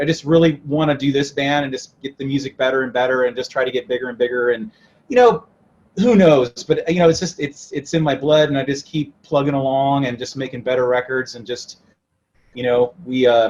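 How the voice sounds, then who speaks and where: Here a man with a fairly high pitch talks at a fairly quick pace, with ordinary pitch variation. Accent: American. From moved around: Italy, England, then US West. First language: Italian. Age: young. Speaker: rock musician. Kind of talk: interview.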